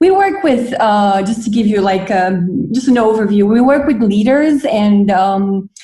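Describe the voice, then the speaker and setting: A woman's fairly high, somewhat breathy voice with a dark, mellow tone and lively intonation. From Romania, Bucharest. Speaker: NGO leader. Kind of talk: podcast interview.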